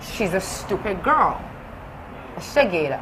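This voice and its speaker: Over noticeable background noise, a woman speaks in an animated tone at a fairly slow pace. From United Kingdom. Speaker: socialite. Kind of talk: heated interview.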